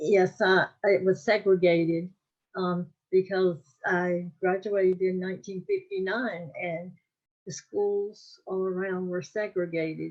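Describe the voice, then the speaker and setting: A woman's medium-pitched, flat monotone voice with a North Carolina accent, at a fairly slow pace. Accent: Southern US (North Carolina). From US South, North Carolina (Wake County). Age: 80s+. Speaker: oral history interviewee. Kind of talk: interview. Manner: halting, many fillers.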